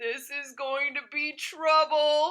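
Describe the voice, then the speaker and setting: The pitch is high. It is a put-on character voice. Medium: read story. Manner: quiet, to himself.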